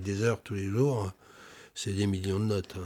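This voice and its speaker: On a very clean recording with a silent background, a man speaks in a fairly low voice with fairly even intonation. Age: 60s. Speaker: flute maker. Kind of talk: documentary interview. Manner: halting, many repetitions.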